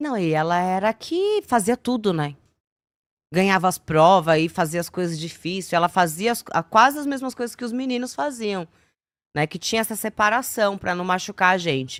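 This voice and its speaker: On a very clean recording with a silent background, a woman talks at a moderate pace with lively intonation, the sound dry and close with no echo. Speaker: former TV show dancer/assistant. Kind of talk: casual podcast interview. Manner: hesitant, many fillers.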